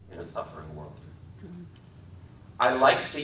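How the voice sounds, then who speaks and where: Noticeable background noise surrounds this recording. A man with an American accent talks at a fairly low pitch, with ordinary pitch variation. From Wisconsin. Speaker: author and filmmaker. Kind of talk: literary commentary lecture. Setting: public library talk.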